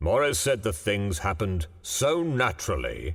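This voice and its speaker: A man's put-on character voice, fairly low in pitch with very wide swings, at a moderate pace on a very clean recording with a silent background. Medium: read story. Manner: slow, plain-spoken.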